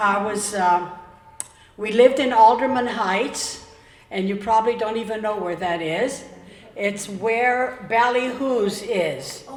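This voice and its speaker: Speaking very slowly with an American accent, a woman uses a fairly high pitch and ordinary pitch variation, with noticeable background noise and audible room echo. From Florida (Tarpon Springs), born Pennsylvania. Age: 80s+. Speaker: longtime local resident. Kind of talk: oral history storytelling.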